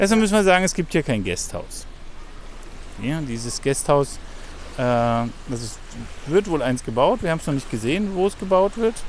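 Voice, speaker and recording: Pausing long and often, a man speaks at a moderate pace with very wide pitch swings. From Germany. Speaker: travel podcast host. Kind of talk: casual chat. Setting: outdoors.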